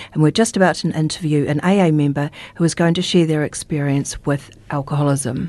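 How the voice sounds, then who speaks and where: A woman speaks at a very fast pace in a very deep, low voice. Her pitch varies in an ordinary way. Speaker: radio host. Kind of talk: radio interview. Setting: radio studio.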